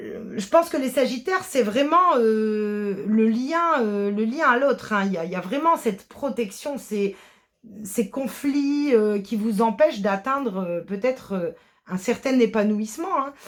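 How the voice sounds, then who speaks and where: Fairly slow in pace, a woman speaks with a fairly high pitch and lively intonation. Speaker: tarot card reader. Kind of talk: tarot reading. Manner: halting, many hesitations.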